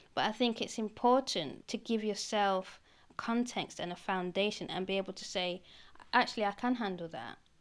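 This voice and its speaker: Speaking at a moderate pace with a British accent, a woman uses a medium pitch and ordinary pitch variation. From Britain. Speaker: independent historian. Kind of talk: casual chat. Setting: museum.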